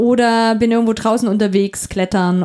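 This woman's voice has a dark, mellow tone. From eastern Saxony (Upper Lusatia), Germany. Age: 30s. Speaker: democracy and participation trainer. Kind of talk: casual chat. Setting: studio. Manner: fast.

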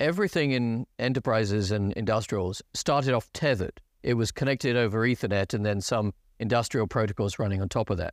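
A man with an American accent talks at a fairly quick pace, with medium pitch and ordinary pitch variation. His loudness is very even, and the very clean recording has a silent background and a dry, close sound with no echo. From United Kingdom. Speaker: technology executive. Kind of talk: casual interview. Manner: self-deprecating, wry.

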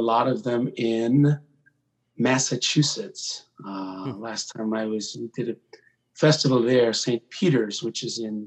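His pace is fairly slow. The man's pitch variation is ordinary. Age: 40s. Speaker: singer and entertainer. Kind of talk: casual interview. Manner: animated.

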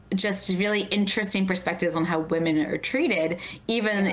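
A woman talks at a fairly quick pace with ordinary pitch variation, amid noticeable background noise and audible room echo. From Baltimore. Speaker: podcast host. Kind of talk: casual interview.

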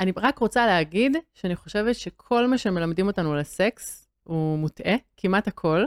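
A woman with an ordinary speaking voice talks at a moderate pace with lively intonation and very even loudness. The sound is dry and close, with no echo. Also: medium pitch for a woman, very clean recording, silent background. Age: 30s. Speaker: model and body image activist. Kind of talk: interview.

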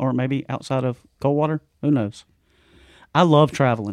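In a dry, close sound with no echo, a man with an American accent speaks at a medium pitch and a moderate pace. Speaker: mountain bike promoter. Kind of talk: casual chat. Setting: video call. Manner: loud; animated.

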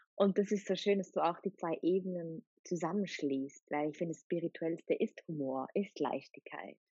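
A woman with an unremarkable speaking voice talks at a moderate pace with hardly any pauses, her fairly low pitch moving with ordinary variation. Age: young. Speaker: podcast host and coach. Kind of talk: casual interview.

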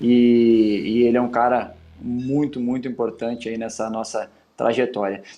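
Over music in the background, a man with a medium pitch speaks at a fairly slow pace with fairly even intonation. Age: 30s. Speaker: footballer and podcast host. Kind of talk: casual interview chat.

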